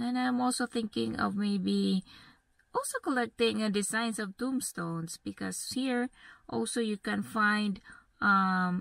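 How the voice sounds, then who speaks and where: A woman speaks at a very slow pace. The sound is dry with no echo, and the background is quiet. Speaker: travel vlogger. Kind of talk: casual vlog chat. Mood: relaxed, cheerful. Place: car. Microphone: phone near.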